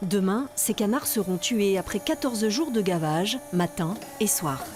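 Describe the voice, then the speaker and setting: Over music in the background, a woman at medium pitch speaks at a fairly slow pace with very wide pitch swings. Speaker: TV news reporter. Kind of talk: TV news narration.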